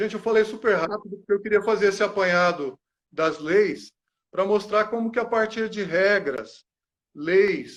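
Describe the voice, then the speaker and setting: The background is quiet. A man speaks in a high pitch with ordinary pitch variation. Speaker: psychology lecturer. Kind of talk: panel talk. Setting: online live stream.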